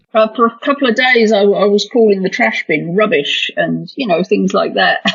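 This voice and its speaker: Noticeable background noise sits behind a woman with an American accent. She talks at a moderate pace with very wide pitch swings. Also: fairly high pitch for a woman. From Britain. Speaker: podcast guest. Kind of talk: casual podcast conversation.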